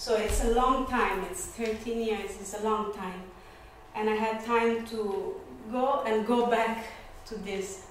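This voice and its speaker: Strong room echo and light background noise surround a woman speaking at a very slow pace with fairly even intonation. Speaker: lecturer, dance teacher. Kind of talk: lecture. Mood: relaxed, reflective. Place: classroom. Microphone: camera far.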